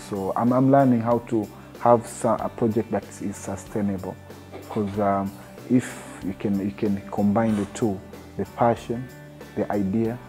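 Faint music plays in the background as a man with a fairly low pitch talks at a fairly slow pace, his intonation fairly even. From Tanzania. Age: 30s. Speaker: TV presenter and producer. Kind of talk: interview answer. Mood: calm, earnest. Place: meeting room. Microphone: lapel.

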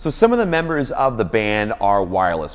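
A man with a fairly low pitch speaks at a moderate pace. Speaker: worship leader blogger. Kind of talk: product review tutorial. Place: office. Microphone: lapel.

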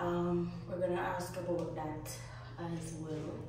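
A woman is speaking in a room with strong echo. Noticeable background noise is also present. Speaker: travel vlogger. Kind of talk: casual vlog chat. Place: bathroom.

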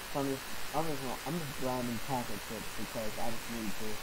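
There is loud background noise. A man is talking over it. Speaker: young gamer. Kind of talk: casual gameplay commentary.

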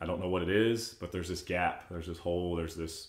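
A man's very deep, low voice with audible room echo. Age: 30s. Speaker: churchgoer sharing faith story; podcast guest. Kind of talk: casual chat. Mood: earnest, reflective storytelling. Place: home room.

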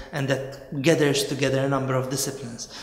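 A man of medium pitch, with audible echo from the room. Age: 20s. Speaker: neuroscientist. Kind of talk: interview answer. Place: office.

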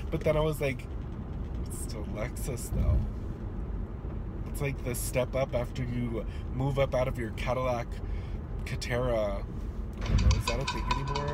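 A man at a moderate pace with long, frequent pauses, dry sound without echo, and loud background noise. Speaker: vlogger. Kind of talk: casual vlog chat. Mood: annoyed, sassy, joking. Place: car. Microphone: phone near.

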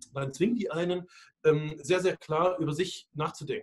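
Against a quiet background, a man talks at a moderate pace. His pitch is high, with ordinary variation. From Hungary (Budapest) and eastern Germany. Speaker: futurist and speaker; interview guest. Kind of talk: interview. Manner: halting, many fillers and repetitions. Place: office. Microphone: video call.

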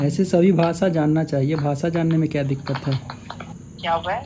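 Fairly high male voice against noticeable background noise. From India. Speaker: tech YouTuber. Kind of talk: casual chat on a video call; app tutorial. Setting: video call.

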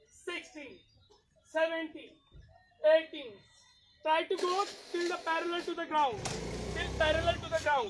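A very slow pace with long, frequent pauses, set against noticeable background noise. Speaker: fitness instructor. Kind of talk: live online fitness class, leading a workout. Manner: brisk rhythmic rep counting, commanding cues; encouraging, warm, code-switching Hindi and English. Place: open country. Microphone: camera far.

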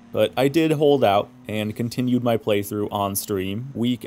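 A man talks at a fairly slow pace at a medium pitch. It is a normal speaking voice. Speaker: gaming YouTuber. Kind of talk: scripted review narration.

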